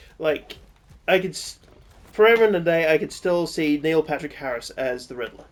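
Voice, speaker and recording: With an American accent, a fairly high-pitched man speaks at a moderate pace, his loudness swinging widely while his pitch varies in an ordinary way. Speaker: gaming co-host. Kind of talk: casual chat while gaming.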